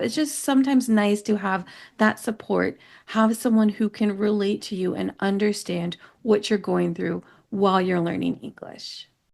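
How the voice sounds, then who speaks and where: Against a quiet background, a woman with a normal speaking voice talks at a fairly slow pace and a medium pitch. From United States. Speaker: English teacher. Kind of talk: educational podcast talk.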